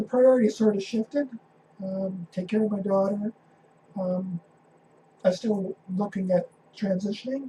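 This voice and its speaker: With a Canadian accent, a woman talks at a moderate pace and medium pitch, her intonation fairly even, with long, frequent pauses. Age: 50s. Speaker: interviewee sharing transition story. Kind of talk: interview. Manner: halting.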